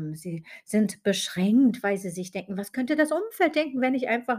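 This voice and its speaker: A somewhat breathy woman with lively intonation in a very clean recording with a silent background. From Germany, West Berlin. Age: 40s. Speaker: podcast host and business mentor. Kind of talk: podcast monologue.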